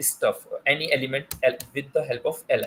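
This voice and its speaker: A man with an Indian accent speaks at a moderate pace. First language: Hindi. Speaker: teaching assistant. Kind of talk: tutorial. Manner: halting, many fillers.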